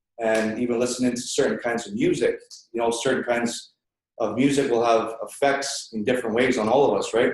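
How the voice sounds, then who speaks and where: Here is a man with an unremarkable speaking voice and a medium pitch. He talks at a fairly quick pace with fairly even intonation. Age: young. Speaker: audience member sharing at personal development session. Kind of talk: audience testimony at seminar.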